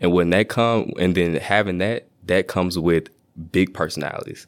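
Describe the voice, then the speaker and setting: In an American accent, a man with a very deep, low pitch speaks at a very fast pace. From Shreveport, Louisiana. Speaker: engineering student. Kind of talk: casual interview. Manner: animated.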